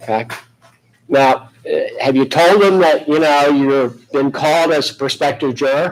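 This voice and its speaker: Here a man speaks with a fairly high pitch at a fairly slow pace. His loudness stays very even and his intonation fairly even. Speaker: judge. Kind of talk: jury selection questioning. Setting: courtroom.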